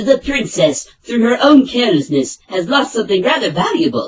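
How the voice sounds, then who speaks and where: This is a put-on character voice. Its pitch is fairly high. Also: moderate pace. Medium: dub.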